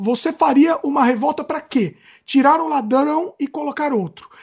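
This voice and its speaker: A man's extremely high-pitched voice with ordinary pitch variation. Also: quiet background. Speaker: podcast co-host. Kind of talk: casual chat.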